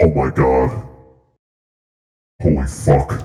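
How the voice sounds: A man puts on a character voice that is raspy and very deep and low in pitch.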